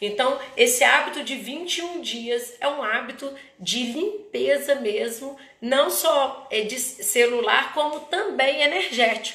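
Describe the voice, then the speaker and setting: A woman's high-pitched voice at a very slow pace, lively in intonation, with audible room echo and noticeable background noise. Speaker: therapist hosting live talk. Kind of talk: live stream talk. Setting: Instagram live. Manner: halting, many false starts.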